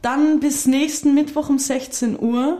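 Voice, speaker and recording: Very slowly, a woman speaks. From Austria. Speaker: podcast co-host. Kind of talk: casual interview.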